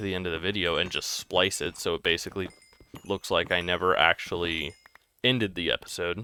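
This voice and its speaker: A man speaks in a bright, sharp tone. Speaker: gaming YouTuber. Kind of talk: gameplay commentary. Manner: halting, self-correcting; casual, filler-heavy.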